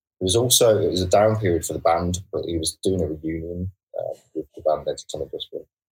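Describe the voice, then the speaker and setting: Over music in the background, a man talks at a very fast pace with big swings in loudness, the sound dry and close with no echo. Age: 30s. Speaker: rock band guitarist. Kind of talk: casual interview. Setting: online call.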